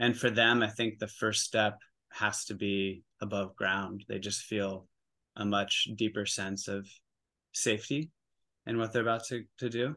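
In an American accent, the speaker talks fairly slowly with fairly even intonation and a bright, sharp tone against a quiet background. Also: man, fairly low pitch for a man. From US Pacific Northwest, Oregon. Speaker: psilocybin facilitator. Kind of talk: interview. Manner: halting.

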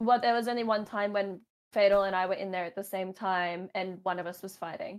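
A woman with an Australian accent speaks fairly quickly at a medium pitch. Her intonation is monotone and flat. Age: 20s. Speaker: gaming podcast co-host, competitive gamer. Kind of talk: casual chat.

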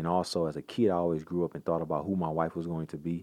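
A man's very deep, low voice with a dark, mellow tone and an American accent, talking at a very fast pace over a quiet background. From Michigan, Detroit area. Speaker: former pro football player. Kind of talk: interview.

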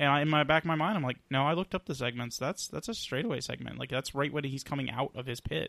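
Speaking very fast with hardly any pauses, a man uses vocal fry at a fairly high pitch with ordinary pitch variation. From Atlanta area, US South. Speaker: podcast co-host. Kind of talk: casual chat.

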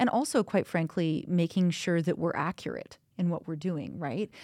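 A woman speaks with a Canadian accent and a dark, mellow tone. Her intonation stays fairly even. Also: very clean recording, silent background. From British Columbia, Kamloops. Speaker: podcast producer and researcher. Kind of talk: casual panel discussion.

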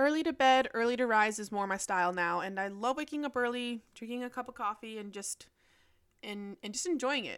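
A woman with a plain, everyday voice, a fairly high pitch and ordinary pitch variation, in a very clean recording with a silent background. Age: 20s. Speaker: podcaster. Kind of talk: casual monologue.

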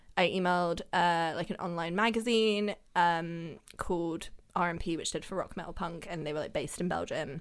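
In a London accent, a woman talks at a moderate pace with fairly even intonation and a fairly low pitch. The recording is very clean, with a silent background. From Germany, raised London. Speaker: photographer. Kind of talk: casual interview chat. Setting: studio.

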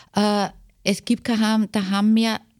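Recorded very cleanly against a silent background, the voice has a dark, mellow tone. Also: woman. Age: 50s. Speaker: care home nurse. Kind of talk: interview.

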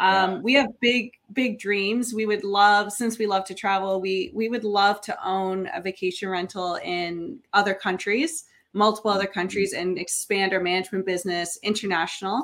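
An ordinary speaking voice with a Canadian accent moves at a moderate pace with hardly any pauses and fairly even intonation. The recording is very clean, with a silent background. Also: woman, medium pitch for a woman. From Niagara region, Ontario, Canada. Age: 30s. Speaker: short-term rental investor and property manager. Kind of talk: podcast interview.

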